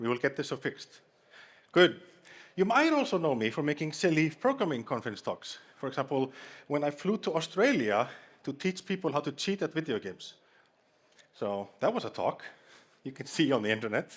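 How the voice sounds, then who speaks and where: A man with a strong Icelandic accent speaks at a fairly quick pace in a fairly high pitch, his pitch swinging very widely, with long, frequent pauses on a very clean recording against a silent background. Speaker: conference speaker. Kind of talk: humorous conference talk. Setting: stage with audience.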